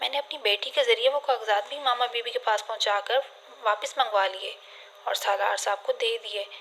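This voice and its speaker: A woman talks in a fairly high pitch, with noticeable background noise in the recording. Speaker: voice over artist. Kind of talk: audiobook novel reading.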